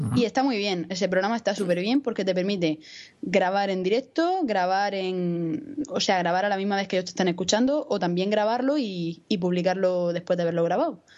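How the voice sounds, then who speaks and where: A woman with a plain, everyday voice speaks at medium pitch and a fairly quick pace, with hardly any pauses. Her intonation is lively. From Spain, Murcia. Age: 20s. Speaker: podcaster and university student. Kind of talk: casual chat.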